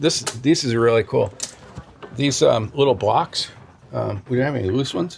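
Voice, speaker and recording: Over noticeable background noise, a man at medium pitch speaks at a moderate pace with ordinary pitch variation and long, frequent pauses. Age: 70s. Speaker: toy store owner. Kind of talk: casual interview during store tour. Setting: in a toy store. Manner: conversational, hesitant with fillers.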